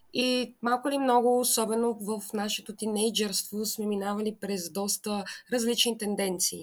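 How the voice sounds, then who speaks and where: Speaking fairly slowly with fairly even intonation, a woman has an unremarkable speaking voice at a fairly high pitch. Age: 20s. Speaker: podcast co-host, QA engineer. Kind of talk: casual chat.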